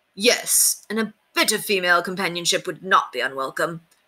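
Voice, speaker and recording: A woman does a put-on character voice at medium pitch, talking at a fairly quick pace. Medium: read story. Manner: formal, archaic courtly speech.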